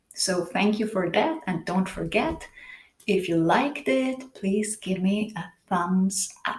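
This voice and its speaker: A woman speaks slowly at a medium pitch, her voice somewhat breathy and her pace fairly slow. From Switzerland. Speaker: tarot reader and singer. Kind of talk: tarot reading. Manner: halting, searching for words.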